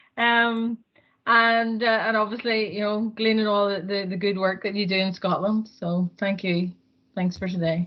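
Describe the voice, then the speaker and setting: A woman's flat, monotone delivery in a Northern Irish accent. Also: medium pitch for a woman, moderate pace. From Northern Ireland. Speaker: housing association staff member. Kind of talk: comment at an online meeting.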